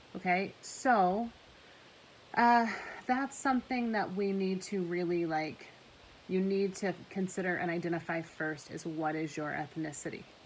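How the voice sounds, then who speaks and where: In a room with audible echo, a woman of medium pitch speaks at a fairly slow pace with ordinary pitch variation. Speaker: high school English teacher. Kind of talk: recorded class lecture. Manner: loud; animated, talks with hands.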